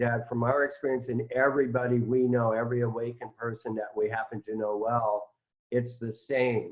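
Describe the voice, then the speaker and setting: A man speaks in a flat monotone at a moderate pace. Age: 60s. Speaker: spiritual teacher. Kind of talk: casual chat.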